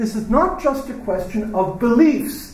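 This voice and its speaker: Audible room echo and noticeable background noise fill the recording. A man speaks at a high pitch with lively intonation. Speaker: professor. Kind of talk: lecture. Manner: halting.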